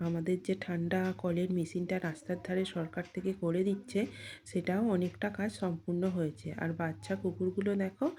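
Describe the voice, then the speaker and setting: Her voice is somewhat breathy, with a dark, mellow tone. The woman speaks at a fairly low pitch with ordinary pitch variation. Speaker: vlogger. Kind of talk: casual vlog narration. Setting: outdoors on the street.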